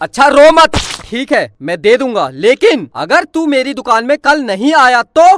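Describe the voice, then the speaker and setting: In a put-on character voice, the speaker shouts at a high pitch, gruff and at a moderate pace. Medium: cartoon. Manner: gruff, shouting.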